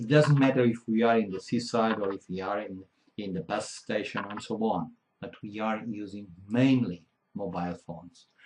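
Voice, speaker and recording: With a Portuguese accent, a man speaks at a fairly slow pace in a dark, mellow tone with ordinary pitch variation. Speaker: keynote speaker. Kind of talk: conference keynote. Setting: conference hall with audience. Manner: halting, self-correcting.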